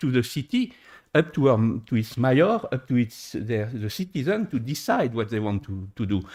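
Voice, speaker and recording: In a French accent, a man speaks at a moderate pace and medium pitch, with very wide pitch swings, on a very clean recording with a silent background. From France. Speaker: engineer, conference panelist. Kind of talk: conference panel talk. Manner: halting, many hesitations.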